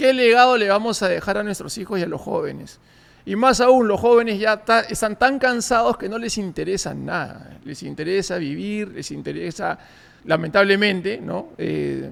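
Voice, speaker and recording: A man's high-pitched voice with ordinary pitch variation and big swings in loudness. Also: moderate pace. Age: 40s. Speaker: podcast host. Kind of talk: political commentary monologue. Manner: hesitant with repetitions and fillers.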